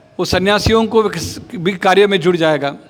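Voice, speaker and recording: Noticeable background noise surrounds a man with a Marathi accent who speaks at a high pitch with ordinary pitch variation. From Maharashtra, India. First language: Marathi (speaking Hindi). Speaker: spiritual speaker. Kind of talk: religious talk.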